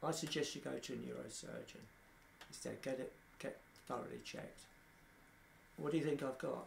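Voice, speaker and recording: The man speaks at a fairly quick pace, broken by long, frequent pauses. Room echo is audible. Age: 60s. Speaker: person living with motor neurone disease. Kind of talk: documentary interview.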